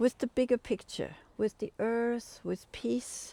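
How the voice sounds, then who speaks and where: A woman with a fairly high pitch and a dark, mellow tone speaks at a fairly slow pace in a dry, close sound with no echo on a very clean recording with a silent background. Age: 70s. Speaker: community music teacher. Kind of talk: interview.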